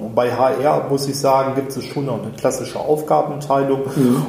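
Over noticeable background noise and audible room echo, a man speaks at a moderate pace in a medium pitch. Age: 40s. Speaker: recruitment consultant. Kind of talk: interview conversation.

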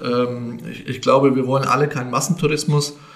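There is audible room echo around a man's fairly high voice. He speaks at a moderate pace in a monotone, flat intonation. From Lower Franconia, Bavaria (Grabfeld area). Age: 50s. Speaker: bank executive. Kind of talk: podcast interview.

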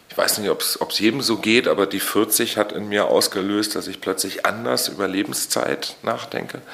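Over noticeable background noise, the speech moves at a moderate pace with hardly any pauses and ordinary pitch variation. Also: man, fairly low pitch for a man. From Usedom, northeastern Germany (Mecklenburg-Vorpommern). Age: 40s. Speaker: musician, singer-songwriter. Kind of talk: interview. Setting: studio, face to face.

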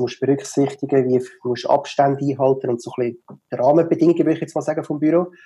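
A man with a Swiss German accent has a fairly high pitch and a dark, mellow tone. His voice is somewhat breathy, with fairly even intonation. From Switzerland. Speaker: digital marketer, office furniture expert. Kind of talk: interview. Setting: video call. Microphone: poor Zoom audio quality.

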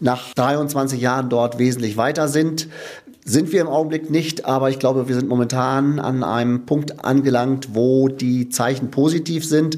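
Here a man speaks at medium pitch and a fairly slow pace. His intonation is monotone and flat. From Lower Saxony, Diepholz district. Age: 60s. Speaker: outgoing mayor. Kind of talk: interview.

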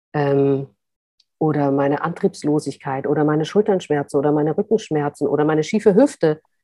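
Talking at a fairly quick pace, a woman has a very deep, low pitch and a dark, mellow tone, recorded with a dry, close sound and no echo. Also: ordinary pitch variation. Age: 40s. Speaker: author and journalist. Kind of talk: interview. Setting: video call.

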